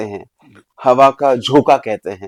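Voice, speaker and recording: The voice belongs to a man. The recording sounds dry and close, without any echo. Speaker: leadership coach and author. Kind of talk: podcast interview. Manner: Hindi mixed with English.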